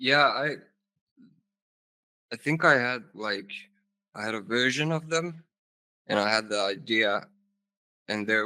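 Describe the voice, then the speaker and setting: With a Finnish accent and a bright, sharp tone, a man at medium pitch talks at a very slow pace with ordinary pitch variation and long, frequent pauses. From Finland. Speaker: rock band vocalist. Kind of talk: casual interview chat.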